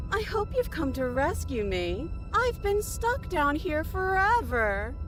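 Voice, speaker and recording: A female-sounding, put-on character voice speaks at a fairly slow pace. Loud music plays in the background. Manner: overly pleading.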